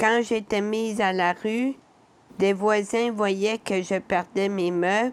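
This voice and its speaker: A woman speaks at a very slow pace in a medium pitch. Her intonation stays fairly even. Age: 60s. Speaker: person with lived experience of poverty. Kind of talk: testimony.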